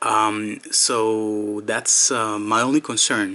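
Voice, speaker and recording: Noticeable background noise sits under this man's voice. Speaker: product reviewer. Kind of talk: product review. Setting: indoors, in a room. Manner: hesitant, many fillers.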